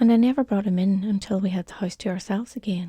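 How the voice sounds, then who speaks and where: Somewhat breathy, with a dark, mellow, gentle, calm tone, the voice moves at a fairly quick pace with ordinary pitch variation in a dry, close sound with no echo. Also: woman. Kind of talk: gentle spoken-story narration for calm listening. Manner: soft, gentle, calm.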